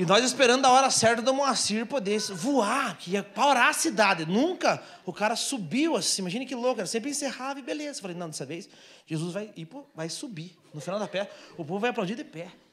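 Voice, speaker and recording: The man's tone is animated, his intonation lively, and his loudness swings widely. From Brazil. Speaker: stand-up comedian. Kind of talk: stand-up comedy set, storytelling with acted-out bits. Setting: stage with audience, small theatre. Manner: animated, fast, punchy storyteller; plays characters with mimicry and sound effects. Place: stage. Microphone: handheld.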